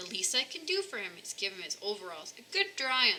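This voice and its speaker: A woman puts on a character voice at a fairly high pitch and a fairly quick pace, with big swings in loudness. Clear background noise runs underneath. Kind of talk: bedtime story. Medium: read story. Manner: warm, enthusiastic.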